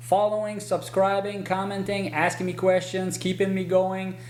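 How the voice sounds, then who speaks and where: A man talks in a high pitch. Noticeable background noise runs underneath. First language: French. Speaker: horse trainer. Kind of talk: casual channel update to viewers.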